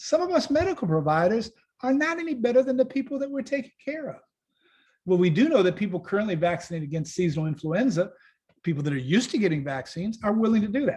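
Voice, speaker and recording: A man talks at a very fast pace with an American accent. His voice is high, with very wide pitch swings. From Chicago, US Midwest. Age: 60s. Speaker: physician. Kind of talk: lecture. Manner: conversational, with asides.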